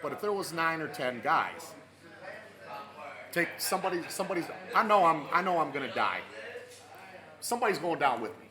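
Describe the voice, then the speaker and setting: A high-pitched man with an American accent, fairly quick in pace yet with long, frequent pauses, ordinary pitch variation and big swings in loudness, amid noticeable background noise and audible room echo. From Michigan, Flint area. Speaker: sports talk podcast host. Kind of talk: casual chat.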